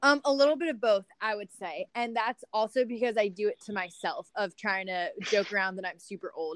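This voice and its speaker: With a plain, everyday voice, a woman speaks at a fairly quick pace and fairly high pitch, using lively intonation and hardly any pauses, in a dry, close sound with no echo. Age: 20s. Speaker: college lacrosse coach. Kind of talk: interview.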